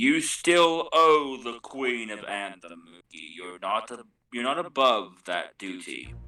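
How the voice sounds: In a put-on character voice, a man speaks slowly at a medium pitch with a bright, sharp tone and lively intonation while faint music plays in the background.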